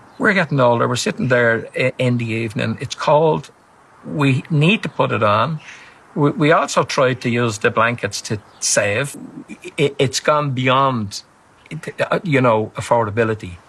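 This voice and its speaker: He speaks with a Dublin accent at a medium pitch for a man. His intonation is lively and his pace fairly slow. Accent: Irish (Dublin). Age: 70s. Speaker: retired pensioner. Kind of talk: TV interview. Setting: TV studio. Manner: halting, repeats words.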